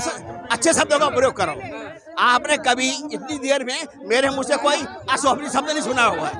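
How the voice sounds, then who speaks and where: A man uses a raised, projected voice at an extremely high pitch, with ordinary pitch variation. Crowd noise sounds in the background. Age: 60s. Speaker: street interviewee, teacher. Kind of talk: heated debate.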